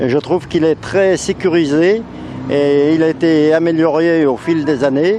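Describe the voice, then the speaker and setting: Over noticeable background noise, a man with a fairly high pitch talks at a fairly slow pace, with very even loudness and fairly even intonation. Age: 70s. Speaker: retired professional motorcycle racer. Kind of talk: interview. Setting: racetrack event. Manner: halting, many hesitations.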